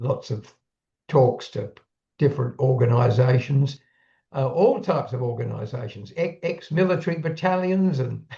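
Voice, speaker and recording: Lively in intonation, a man speaks in a fairly high pitch with a somewhat breathy, dark, mellow tone. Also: moderate pace. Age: 80s+. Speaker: retired public speaker and YouTuber. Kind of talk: casual chat.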